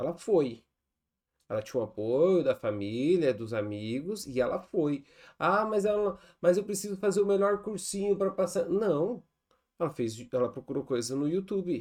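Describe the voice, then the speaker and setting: In a very clean recording with a silent background, a high-pitched man speaks at a moderate pace in an animated tone with very wide pitch swings. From Brazil, Rio Grande do Sul. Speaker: podcast host, chemistry teacher. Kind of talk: casual interview.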